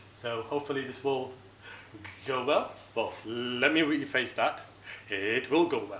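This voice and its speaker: A man with a fairly high pitch talks at a fairly slow pace with fairly even intonation and long, frequent pauses, amid noticeable background noise and audible room echo. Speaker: software engineer, conference speaker. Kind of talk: tech talk at a meetup.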